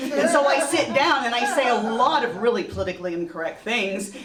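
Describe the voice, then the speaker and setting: An animated, high-pitched woman's voice with an American accent, very wide pitch swings and a moderate pace, plus noticeable background noise and audible room echo. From partly Texas. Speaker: storyteller. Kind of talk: live storytelling. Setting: stage with audience.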